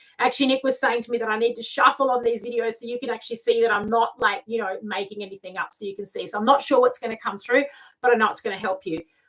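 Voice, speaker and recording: A woman's fairly high voice at a very fast pace, big swings in loudness, fairly even intonation and hardly any pauses. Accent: Australian. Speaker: lifestyle mentor and tarot reader. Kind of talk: live video talk. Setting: live video stream.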